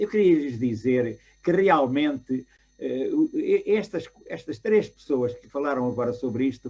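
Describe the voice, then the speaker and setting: Very wide pitch swings run through a man's dark, mellow tone. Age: 80s+. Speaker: retired academic. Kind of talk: panel discussion. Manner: halting.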